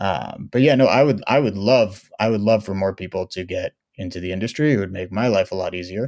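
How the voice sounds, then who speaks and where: Fairly low in pitch, a man talks at a fairly quick pace with hardly any pauses. His pitch varies ordinarily, and the recording is very clean with a silent background. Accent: American. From Oakland, California. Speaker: winemaker. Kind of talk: casual interview chat.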